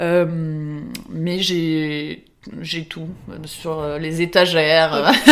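Over noticeable background noise, a woman with a very deep, low pitch speaks at a very slow pace in a monotone, flat intonation. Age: 20s. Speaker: ceramicist. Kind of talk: interview. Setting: workshop.

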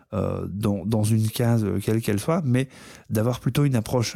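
The voice has a dark, mellow tone with ordinary pitch variation. The recording is very clean, with a silent background. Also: man. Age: 30s. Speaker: visually impaired diversity and inclusion speaker. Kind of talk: interview. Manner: hesitant, many fillers and repetitions.

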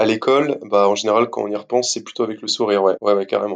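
A man is speaking. His pace is very fast. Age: 20s. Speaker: physiotherapist. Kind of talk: casual interview. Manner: animated.

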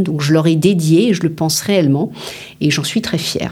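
With noticeable noise in the background, a woman talks, her pitch varying in an ordinary way. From Paris, France. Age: 50s. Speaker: business founder and CEO. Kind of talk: interview.

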